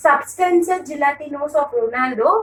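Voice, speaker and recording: In a Tamil accent, a woman speaks with a high pitch. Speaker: teacher. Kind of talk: lecture. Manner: fast; halting.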